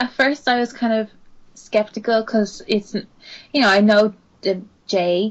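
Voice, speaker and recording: With an Irish accent, a woman speaks at a fairly high pitch and a fairly slow pace. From Ireland. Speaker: podcast co-host. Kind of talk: casual chat.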